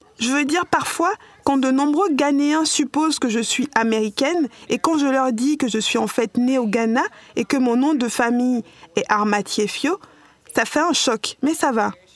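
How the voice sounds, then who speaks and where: A woman with a high pitch speaks at a fairly slow pace, with ordinary pitch variation and very even loudness. The sound is dry and close with no echo, though there is noticeable background noise. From New York, US. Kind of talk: podcast interview.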